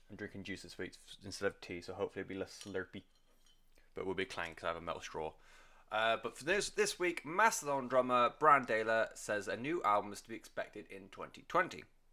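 Very fast and bright, sharp in tone, a man speaks at a medium pitch with very wide pitch swings and big swings in loudness, in a very clean recording with a silent background. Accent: British. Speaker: music podcast host. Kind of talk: solo podcast monologue. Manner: quiet; casual with fillers.

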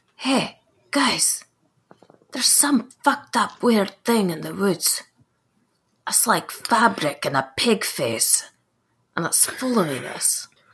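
A raspy, put-on character voice, female-sounding and fairly high in pitch, moves at a fairly slow pace with long, frequent pauses. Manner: blunt, salty.

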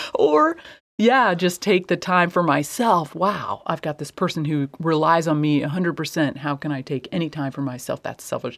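A normal speaking voice with an American accent, ordinary pitch variation and a moderate pace comes through a very clean recording with a silent background. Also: woman, fairly low pitch for a woman. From US Midwest. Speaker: artist and podcast co-host. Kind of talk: casual chat.

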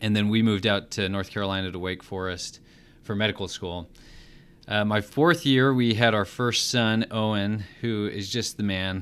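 Here is a plain, everyday voice with an American accent at a moderate pace and ordinary pitch variation. The recording is very clean, with a silent background. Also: man, fairly low pitch for a man. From Utah. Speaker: chief resident physician. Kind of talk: case-based teaching discussion.

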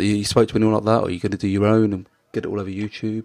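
A man talks with a British accent. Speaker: podcast host. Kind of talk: interview.

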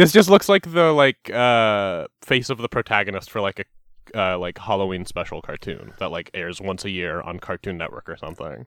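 The intonation is lively and the loudness swings widely, all in a dry, close sound with no echo. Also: man, fairly low pitch for a man, moderate pace. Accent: Canadian. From Canada. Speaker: podcast host. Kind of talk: casual comedic chat.

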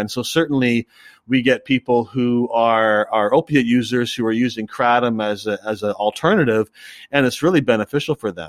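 A normal speaking voice talks at a fairly quick pace with ordinary pitch variation. The recording is very clean, with a silent background and a dry, close sound that has no echo. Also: man. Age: 50s. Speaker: cafe owner and drug policy activist. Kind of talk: interview.

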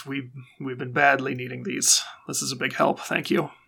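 A raspy, put-on character voice from a man, at medium pitch and a moderate pace. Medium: actual play. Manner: terse, measured.

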